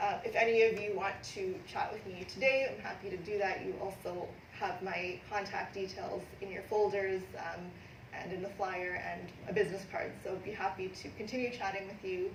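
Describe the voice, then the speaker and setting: A woman's medium-pitched voice in a Canadian accent, monotone and flat, with audible room echo and noticeable background noise. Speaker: immigration lawyer. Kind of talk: presentation to a live audience. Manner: fast; many filler ums.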